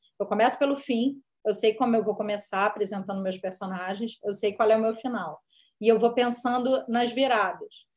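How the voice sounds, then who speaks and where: A woman with a fairly high pitch and ordinary pitch variation has a plain, everyday voice. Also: moderate pace. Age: 40s. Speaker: screenwriter and director. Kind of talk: interview.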